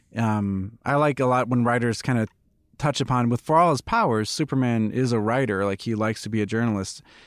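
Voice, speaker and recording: With an ordinary speaking voice, a man talks at a medium pitch and uses ordinary pitch variation. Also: very clean recording, silent background. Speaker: comic book writer. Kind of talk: casual chat. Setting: studio.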